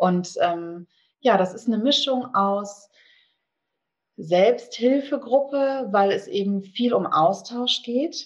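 Very slow speech with lively intonation, broken by long, frequent pauses. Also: woman, high pitch for a woman. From Bonn, Germany. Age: 40s. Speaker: eating disorder support group leader. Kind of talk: interview.

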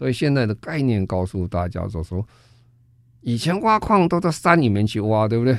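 In a Taiwanese accent, a man talks at a fairly quick pace and a medium pitch, his pitch swinging very widely. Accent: Taiwanese Mandarin. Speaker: foundation chairman and sustainability expert. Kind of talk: radio interview. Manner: halting, many fillers.

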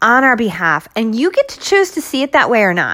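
An animated tone from a woman. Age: 40s. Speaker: wellness and fitness podcaster. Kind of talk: solo motivational talk.

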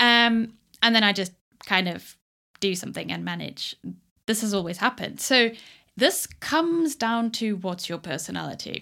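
On a very clean recording with a silent background, a woman speaks at a moderate pace with long, frequent pauses. Her medium pitch carries lively intonation and a bright, sharp tone. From South Africa. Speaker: podcast host. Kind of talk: solo podcast monologue.

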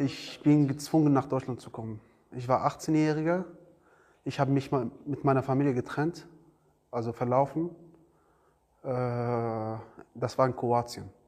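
Using an Arabic accent, a man at a medium pitch speaks at a fairly slow pace with fairly even intonation and long, frequent pauses over a quiet background. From Iraq. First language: Arabic (speaking German). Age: 20s. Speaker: refugee, trainee car mechatronics technician. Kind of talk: interview. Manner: halting.

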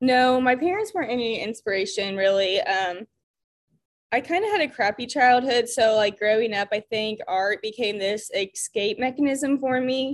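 Against a quiet background, a woman talks at a high pitch with a Midwestern American accent. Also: ordinary pitch variation, moderate pace. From Indiana, US Midwest. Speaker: ceramicist. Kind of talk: casual interview chat. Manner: casual, filler-heavy.

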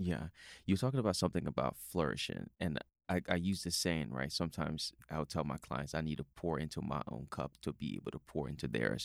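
Dry and close with no echo, the voice has an American accent, vocal fry, ordinary pitch variation and a fairly quick pace. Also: man, very deep, low pitch for a man. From outside the US. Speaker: podcast host, fitness trainer. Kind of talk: casual interview. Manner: animated.

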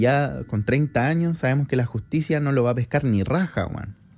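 The man's voice has a dark, mellow tone at a medium pitch. He moves at a moderate pace with lively intonation. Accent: Chilean. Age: 20s. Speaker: podcaster. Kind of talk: casual monologue.

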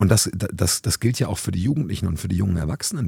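A man with a very deep, low pitch and a dark, mellow tone talks at a very fast pace, sounding somewhat breathy. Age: 30s. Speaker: youth worker and podcast host. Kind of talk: casual chat. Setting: youth centre, seated on sofas with mobile recorder.

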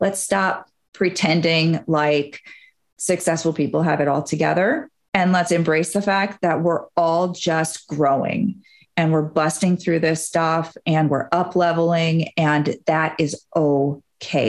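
A woman with an ordinary speaking voice talks fairly slowly at a fairly low pitch, keeping her intonation fairly even and her loudness very even. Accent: American. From Wisconsin, US Midwest. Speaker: hypnotherapist and business mindset coach. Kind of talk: podcast interview.

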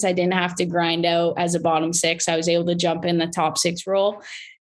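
With a Canadian accent, a woman speaks at a medium pitch in a normal speaking voice against a quiet background. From southwestern Ontario, Canada. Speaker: former hockey player. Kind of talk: casual interview.

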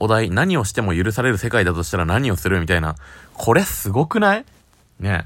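A man speaks fairly fast with lively intonation. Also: fairly low pitch for a man. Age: 20s. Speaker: podcast beginner. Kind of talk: casual monologue. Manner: halting.

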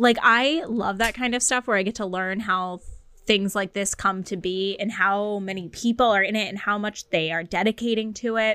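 A woman with an American accent speaks at a moderate pace and a medium pitch, her intonation fairly even. It is a normal speaking voice. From rural Massachusetts. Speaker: podcast co-host. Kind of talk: casual chat.

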